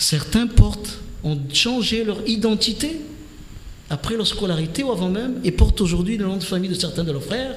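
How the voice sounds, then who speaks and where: A man talks at a moderate pace with very wide pitch swings. Noticeable background noise sits behind him. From Comoros. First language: Comorian (speaking French). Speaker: politician, member of parliament. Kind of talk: radio political debate interview. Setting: radio studio. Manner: hesitant, with frequent fillers.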